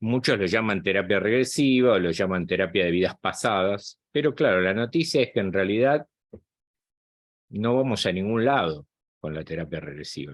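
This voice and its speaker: In an ordinary speaking voice, a man talks at a moderate pace with a fairly low pitch. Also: lively intonation. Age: 60s. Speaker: psychologist and spiritual channel host. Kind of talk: guest talk to online group.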